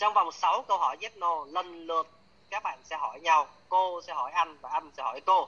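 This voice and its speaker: Here a man with a high voice speaks at a fairly slow pace with ordinary pitch variation. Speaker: coach and trainer. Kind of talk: live class or workshop teaching. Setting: online video session. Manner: animated, chatty storytelling.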